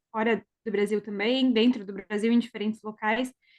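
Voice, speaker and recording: Monotone female delivery, fairly high in pitch, at a moderate pace. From Brazil, Rio Grande do Sul (Teutônia). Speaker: speech therapist and podcast co-host. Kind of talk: casual chat.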